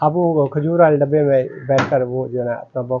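Here a man speaks at a moderate pace in a medium pitch, with ordinary pitch variation.

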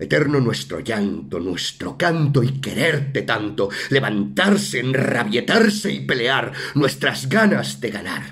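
A man speaks at a very slow pace in a medium pitch, his voice swinging very widely up and down. Noticeable background noise runs underneath. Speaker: actor. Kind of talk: poetry reading. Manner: emotive, stirring.

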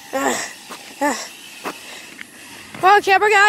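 Light noise sits in the background. The sound itself is dry, without any echo. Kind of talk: playful character voices. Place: street. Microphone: phone near.

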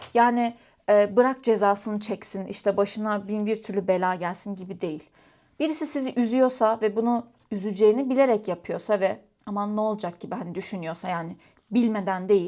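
In a very clean recording with a silent background, a woman speaks at a moderate pace. Her medium pitch, dark, mellow tone and ordinary pitch variation come through clearly. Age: 20s. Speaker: vlogger. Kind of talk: casual chat. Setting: at home, crafting while talking to camera.

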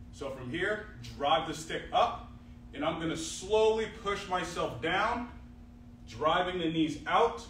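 A man's high voice at a very slow pace with ordinary pitch variation, plus light background noise and audible room echo. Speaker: fitness coach. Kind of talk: tutorial. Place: gym. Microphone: camera far.

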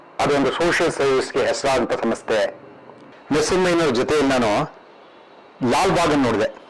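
A man with fairly high pitch, ordinary pitch variation, and very even loudness, amid noticeable background noise. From Karnataka, Tumakuru and Bangalore area. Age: 70s. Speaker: education trust president. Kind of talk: reminiscing interview. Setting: at home.

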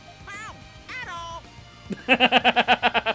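A put-on character voice sits at an extremely high pitch with very wide pitch swings. Clear music plays in the background. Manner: mimicking, weird.

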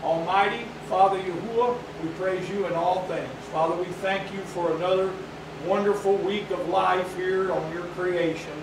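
Speaking at a high pitch in a monotone, flat intonation, a man keeps a moderate pace amid noticeable background noise and audible room echo. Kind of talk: sermon. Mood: reverent, earnest. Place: hall. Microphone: camera far.

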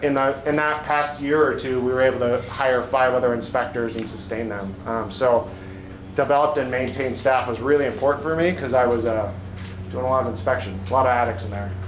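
A man talks at a very fast pace. Audible room echo and light background noise surround him. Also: ordinary pitch variation. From Phoenix, Arizona; Arizona. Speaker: home inspector and business owner. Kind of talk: presentation to real estate agents. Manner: halting with frequent ums. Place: meeting room. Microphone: camera far.

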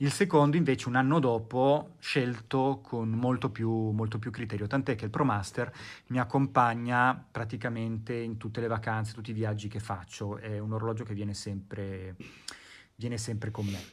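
This man keeps a moderate pace. The melody of his speech is fairly even. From born abroad overseas. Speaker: watch collector guest. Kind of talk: recorded video presentation. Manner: halting. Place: home room.

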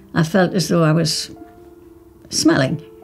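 Faint music plays in the background as a woman talks at a fairly slow pace with ordinary pitch variation. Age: 80s+. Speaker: ostomy patient, great-grandmother. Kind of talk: testimonial interview answer. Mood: candid, warm, reassuring. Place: home room.

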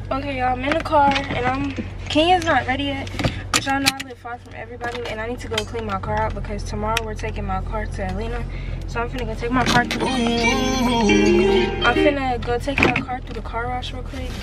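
A woman at a very fast pace over loud background noise. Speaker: vlogger. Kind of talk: casual vlog chat. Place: car. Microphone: phone near.

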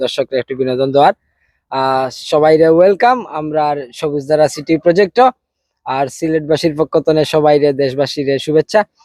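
The recording of this man is dry and close with no echo, his fairly high pitch showing ordinary variation. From Sreemangal, Sylhet, Bangladesh. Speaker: real estate project representative. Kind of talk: promotional tourism talk.

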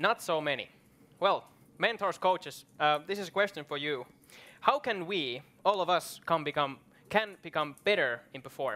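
Bright and sharp in tone, a man speaks at a high pitch with a Finnish accent. His intonation is lively and his pace moderate. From Finland. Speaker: event host. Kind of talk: moderated panel discussion. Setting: stage with audience. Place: stage. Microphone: headset.

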